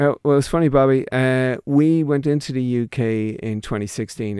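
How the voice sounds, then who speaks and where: In an Irish Midlands accent, a man with a dark, mellow tone talks at a fairly slow pace with ordinary pitch variation, in a dry, close sound with no echo on a very clean recording with a silent background. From Ireland, County Longford. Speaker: company managing director. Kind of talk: radio interview. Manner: halting.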